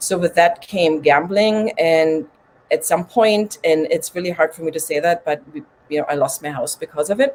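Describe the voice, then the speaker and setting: In a slight German accent, a woman speaks at a moderate pace with a fairly low pitch and ordinary pitch variation. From Germany. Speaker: recovery coach and podcaster. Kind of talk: interview testimony.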